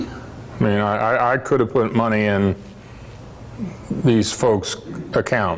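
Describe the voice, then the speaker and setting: Noticeable background noise sits behind a man's voice. He speaks at a medium pitch and a fairly slow pace. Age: 60s. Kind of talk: presentation to parents. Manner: halting, many fillers.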